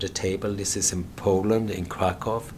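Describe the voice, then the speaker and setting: A man talks fairly slowly while noticeable noise sits in the background. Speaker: journalist and documentary filmmaker. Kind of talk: interview. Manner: halting, many repetitions and fillers.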